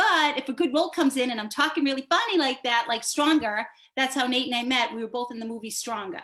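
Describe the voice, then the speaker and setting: A woman's high-pitched voice with an American accent. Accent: Boston accent, can drop it. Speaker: actor. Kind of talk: panel discussion.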